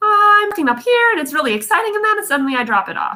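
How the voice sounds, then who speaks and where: A woman's put-on character voice, squeaky and extremely high, upbeat in tone, racing at a very fast pace with very wide pitch swings. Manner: upbeat then trailing off in fry.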